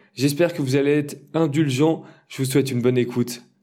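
Here a man speaks in a fairly high pitch. He moves at a fairly quick pace. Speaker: blogger and podcast host, lifeguard. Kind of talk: interview; scripted podcast intro. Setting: room with a lot of echo. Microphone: room echo.

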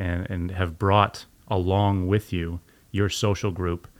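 A man with a very deep, low pitch talks at a fairly slow pace with fairly even intonation. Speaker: podcast host and school director of student experience. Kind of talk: casual interview. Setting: studio.

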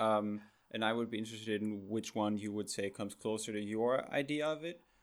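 Here a man speaks with a German accent. The recording is very clean and the background silent. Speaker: podcast host. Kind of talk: interview.

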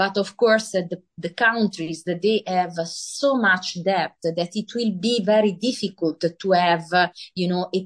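In an Italian accent, a woman speaks at a very slow pace. Her pitch is medium and her intonation fairly even. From Italy. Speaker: author and finance professional. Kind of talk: interview. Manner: halting.

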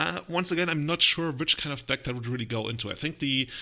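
With a German accent, the voice has a bright, sharp tone on a very clean recording with a silent background. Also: man. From Germany. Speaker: podcast host. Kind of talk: casual chat.

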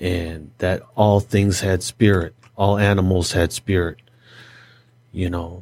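Speaking at a very slow pace, a man with an American accent uses a very deep, low pitch and monotone, flat intonation. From Detroit suburbs, US. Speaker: podcast co-host. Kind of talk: casual discussion podcast. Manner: casual, conversational.

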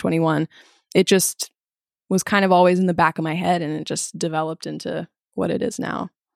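A woman with an unremarkable speaking voice and fairly low pitch keeps her intonation fairly even, in a dry, close sound with no echo. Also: very clean recording, silent background. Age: young. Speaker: university student and podcaster. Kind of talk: casual chat.

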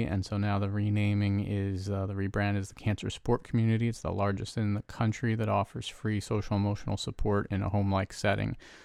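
A man with an American accent speaks at a fairly quick pace in a fairly low pitch, his tone calm and his intonation monotone and flat, in a very clean recording with a silent background. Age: 40s. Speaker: business owner, entrepreneur. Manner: even-keeled, steady, calm; does not change volume or inflection.

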